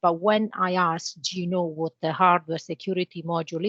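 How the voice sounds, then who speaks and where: A woman with an Italian accent at a fairly low pitch, moderate pace and ordinary pitch variation, over a quiet background. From Italy. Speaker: cybersecurity channel manager. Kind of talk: interview.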